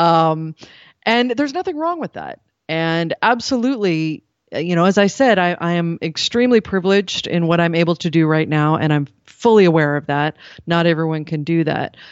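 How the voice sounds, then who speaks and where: Here a woman uses a plain, everyday voice, pitched fairly low, with ordinary pitch variation. She keeps a moderate pace. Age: 40s. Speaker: radio journalist. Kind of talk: interview.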